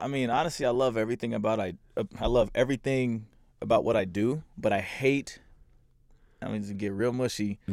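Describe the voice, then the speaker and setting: A man with an American accent has an ordinary speaking voice at a medium pitch. He talks at a fairly quick pace with ordinary pitch variation. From US Midwest, Kansas City and St. Louis, Missouri. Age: 20s. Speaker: DJ and producer. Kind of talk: casual chat.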